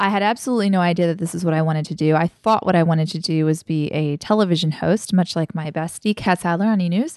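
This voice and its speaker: With hardly any pauses, a woman speaks at a very fast pace and fairly low pitch, with ordinary pitch variation, against a quiet background. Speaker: blogger and podcast host. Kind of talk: casual chat. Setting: home dining table recording. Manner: loud, excited.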